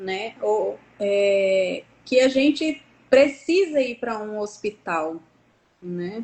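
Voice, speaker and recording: Very slow in pace, a woman speaks at a fairly high pitch with lively intonation and big swings in loudness. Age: 40s. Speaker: nurse entrepreneur, guest. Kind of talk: live stream interview.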